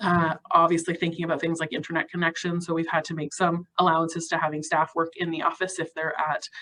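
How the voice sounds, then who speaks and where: Her voice fairly low in pitch, a woman talks at a very fast pace. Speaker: youth program presenter. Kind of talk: webinar panel presentation.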